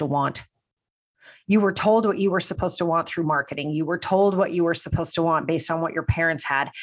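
A woman with an American accent talks at a fairly quick pace in a fairly low voice, an unremarkable speaking voice. The recording is very clean, with a silent background. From New Jersey, US. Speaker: business mentor. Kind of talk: casual interview.

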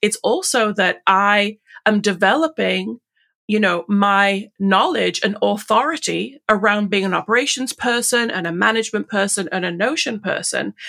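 On a very clean recording with a silent background, a woman with an English accent speaks at medium pitch and a moderate pace. Her tone is bright and sharp, with vocal fry and ordinary pitch variation. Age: 40s. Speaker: Notion consultant. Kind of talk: casual interview chat.

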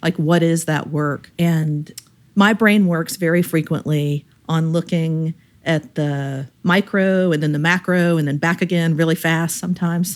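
This woman has a normal speaking voice with a fairly low pitch. She goes at a fairly slow pace with fairly even intonation. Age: 50s. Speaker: member of an Enneagram association's regional chapter. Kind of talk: casual chat. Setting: call with the hosts.

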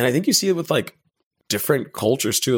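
A man talks with an American accent. The recording is very clean, with a silent background. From Texas, Dallas. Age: 30s. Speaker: comedian and personal trainer. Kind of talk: casual chat.

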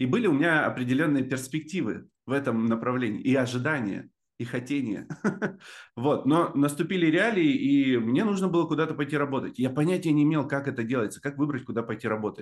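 Against a quiet background, a man uses an ordinary speaking voice at a fairly quick pace, with fairly high pitch and ordinary pitch variation. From Russian Far East (Amur Oblast). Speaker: marketing expert. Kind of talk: casual interview chat.

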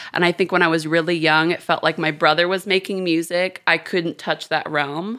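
In a very clean recording with a silent background, a woman with an American accent speaks at a moderate pace in a fairly low pitch, her tone bright and sharp, with hardly any pauses. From Houston, Texas and London. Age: 20s. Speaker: tattoo artist. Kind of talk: casual chat. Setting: studio. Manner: animated.

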